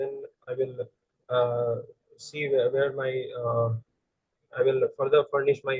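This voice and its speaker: A man with a Bengali accent at a moderate pace. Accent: Indian English (Bengali). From India, West Bengal (Siliguri). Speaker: engineering student, interview candidate. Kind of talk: mock job interview. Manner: halting, many fillers; quiet.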